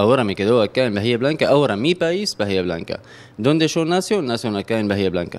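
A man in an Arabic accent talks at a very fast pace with very wide pitch swings. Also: medium pitch for a man. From Syria, Homs; Syria. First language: Arabic (speaking Spanish). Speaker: restaurant owner, immigrant. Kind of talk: interview. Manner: halting, repeats words. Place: kitchen. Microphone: handheld.

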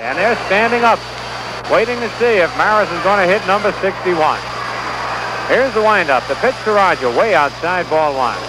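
The pace is moderate, with a dry sound and no echo. Noticeable background noise runs underneath. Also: man. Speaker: baseball radio broadcaster. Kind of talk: live radio sports play-by-play commentary. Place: stadium. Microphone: old recording.

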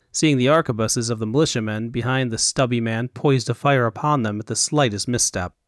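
Ordinary pitch variation runs through the clip. Someone reads aloud in a natural voice.

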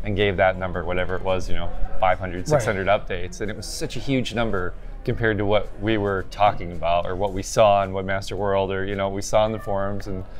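Faint music sits in the background while a man talks very fast with fairly even intonation. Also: fairly low pitch for a man. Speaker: SEO software researcher. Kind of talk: interview answer. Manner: low energy, monotone. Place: hall. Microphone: phone near.

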